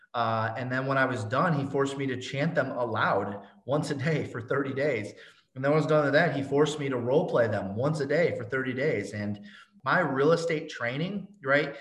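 This man's voice sits fairly high. Room echo is audible around him. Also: ordinary pitch variation, moderate pace. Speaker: real estate agent and coach. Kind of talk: interview.

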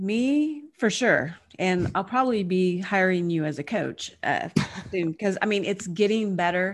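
With a Southern US accent, a woman speaks using lively intonation. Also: medium pitch for a woman, fairly slow pace. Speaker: podcast host. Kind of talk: interview.

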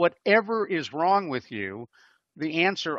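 A man speaks with lively intonation. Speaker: radio host. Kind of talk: casual chat. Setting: video call.

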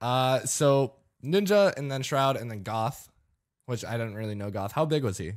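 On a very clean recording with a silent background, a man of medium pitch speaks at a moderate pace with lively intonation. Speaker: podcast host and streamer. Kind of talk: casual chat. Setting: studio. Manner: sarcastic-sounding delivery.

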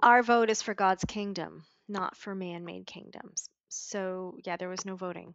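A woman with a Canadian accent has an ordinary speaking voice at medium pitch, with fairly even intonation. Her pace is fairly slow, and her loudness takes big swings. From Montreal, Canada. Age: 40s. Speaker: business coach and horse ranch owner. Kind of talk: interview.

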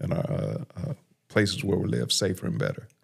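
A man speaks with an American accent. His voice carries vocal fry. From South Los Angeles. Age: 50s. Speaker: criminal justice reform advocate, former prisoner. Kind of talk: testimony.

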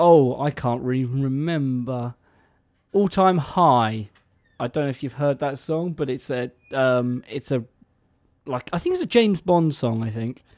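A man talks at a medium pitch with an English accent. His pitch varies in an ordinary way. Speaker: radio co-host. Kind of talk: casual chat. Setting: radio studio. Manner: playful, rambling.

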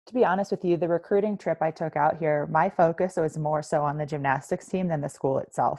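In an American accent, a woman with a plain, everyday voice talks at a fairly quick pace in a fairly low pitch. The background is quiet. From US East Coast. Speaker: military veteran and coach. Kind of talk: podcast interview.

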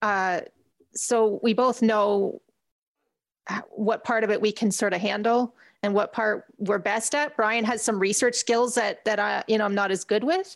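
On a very clean recording with a silent background, a woman with a Canadian accent uses a plain, everyday voice, fairly high in pitch, speaking at a fairly slow pace with very even loudness and fairly even intonation. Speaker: community radio host, blind advocate. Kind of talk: casual interview.

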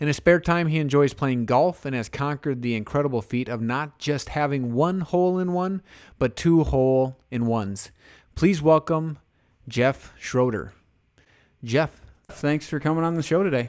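The man has an unremarkable speaking voice, fairly high in pitch, with ordinary pitch variation at a moderate pace. The recording is very clean, with a silent background. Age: 30s. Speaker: podcast host, basketball referee. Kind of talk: interview.

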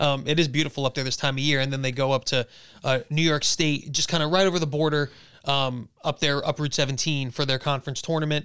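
A man speaks at a very fast pace in a fairly high voice, with very even loudness and fairly even intonation. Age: 30s. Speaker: podcast host. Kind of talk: sports news roundup; casual interview chat.

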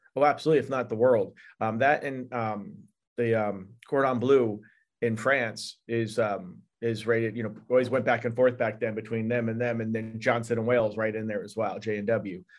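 At a moderate pace, a man talks in an unremarkable speaking voice of medium pitch with fairly even intonation. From upstate New York. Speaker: chef and video producer. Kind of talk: casual interview. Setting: video call.

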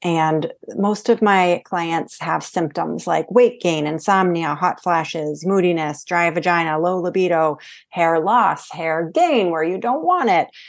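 A woman with an American accent has a plain, everyday voice, pitched fairly low with ordinary pitch variation. She talks at a fairly slow pace with hardly any pauses, against a quiet background. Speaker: hormone coach. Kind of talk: interview.

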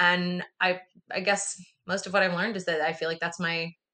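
With an American accent, a woman talks at a moderate pace in a fairly low, bright, sharp voice. Her intonation is monotone and flat. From US, rural commune. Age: 30s. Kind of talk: casual interview.

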